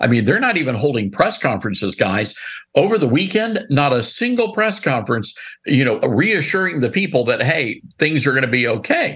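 With an American accent, the speaker moves at a fairly quick pace, using very wide pitch swings and very even loudness. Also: man, fairly high pitch for a man. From US South, Memphis, Tennessee. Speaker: radio and TV host. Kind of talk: casual interview chat. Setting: studio.

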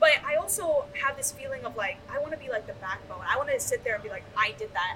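A woman is speaking. Her pace is very fast. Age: 20s. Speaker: AV technician and installer. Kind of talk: casual chat. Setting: live at a trade show.

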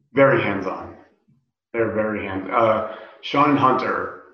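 Audible room echo surrounds a man with an American accent who speaks at a moderate pace. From US West (rural desert California). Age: 30s. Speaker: professional wrestler. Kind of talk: casual interview.

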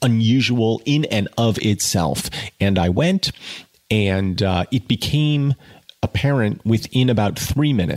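The clip has a person reading aloud in a natural voice.

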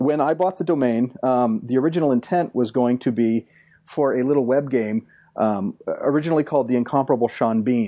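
Over a quiet background, a man talks at a fairly quick pace in a medium-pitched voice with a dark, mellow tone. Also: ordinary pitch variation, very even loudness. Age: 40s. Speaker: podcast panelist. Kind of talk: casual chat.

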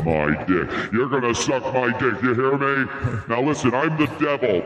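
A man puts on a character voice at a medium pitch. There is a clear echo around him. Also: moderate pace. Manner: menacing, crude.

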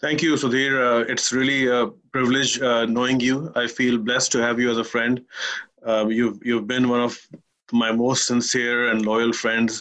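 Speaking at a moderate pace with a Pakistani accent, a man keeps a medium pitch, a flat monotone delivery and very even loudness. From Kuwait. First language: Urdu. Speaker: business executive. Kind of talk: interview conversation.

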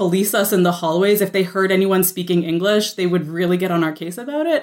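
On a very clean recording with a silent background, a woman speaks at a medium pitch with a Canadian accent. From Quebec, Canada (Gatineau area). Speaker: author and critic. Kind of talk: casual chat. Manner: animated.

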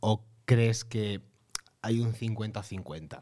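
A man speaks at a medium pitch. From Almería, Spain. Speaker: podcast host and actor. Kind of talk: casual chat. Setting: studio with video.

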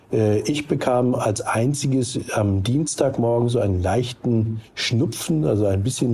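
Here a man talks at medium pitch. His pitch variation is ordinary. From northern Germany, near Hamburg. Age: 60s. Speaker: recovered Covid-19 patient. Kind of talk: phone interview. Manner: halting.

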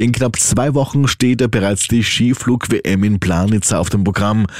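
A man with a normal speaking voice, medium in pitch and lively in intonation. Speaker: radio news presenter. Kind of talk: brisk radio newsreading, crisp and authoritative with a light conversational lilt.

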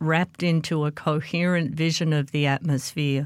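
Speaking fairly slowly with an Australian accent, a woman with a very deep, low pitch keeps a monotone, flat intonation on a very clean recording with a silent background. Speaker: meteorology professor. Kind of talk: interview.

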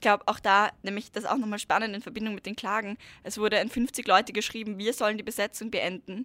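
Heard dry and close with no echo, a woman with a fairly high pitch and a bright, sharp tone speaks at a very fast pace with fairly even intonation. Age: 20s. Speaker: climate activist. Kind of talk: interview.

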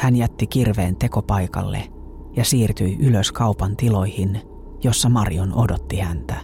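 With music in the background, a man speaks at a fairly low pitch. His pace is fairly slow and his intonation lively. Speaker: true-crime podcast narrator. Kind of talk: true-crime narration, scripted storytelling.

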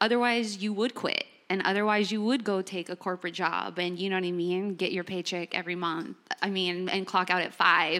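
Against a very clean recording with a silent background, a woman with a Californian accent speaks at a fairly quick pace, her medium pitch carrying a bright, sharp tone and fairly even intonation. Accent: Californian American English. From Los Angeles. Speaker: entrepreneur and musician. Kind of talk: panel discussion. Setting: living room with audience.

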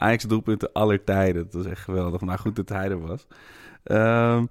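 In an Amsterdam accent, a man talks at a moderate pace. The sound is dry and close with no echo, on a very clean recording with a silent background. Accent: Amsterdam-Zuid. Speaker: football fan podcaster. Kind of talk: casual chat.

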